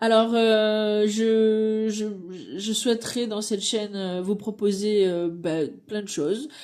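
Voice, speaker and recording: Delivery is very slow, with fairly even intonation. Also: woman, fairly high pitch for a woman. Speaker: card reader and reflexologist. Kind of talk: channel introduction. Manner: halting, many hesitations.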